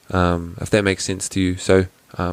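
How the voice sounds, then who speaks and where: A man talks at a fairly quick pace in a very deep, low voice. His intonation stays monotone and flat. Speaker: podcast host. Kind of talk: solo Q&A podcast. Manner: hesitant, many fillers.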